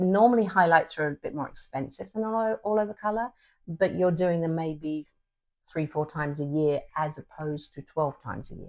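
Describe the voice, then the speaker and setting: Over a quiet background, a woman with a fairly low pitch speaks at a moderate pace in a plain, everyday voice, with lively intonation and big swings in loudness. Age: 60s. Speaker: hair colorist. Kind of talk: interview.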